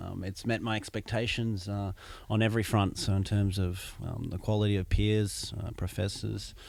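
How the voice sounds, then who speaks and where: With an Australian accent, a man talks in a fairly low pitch and a monotone, flat intonation. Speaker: MBA student. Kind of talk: interview. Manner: hesitant, many fillers.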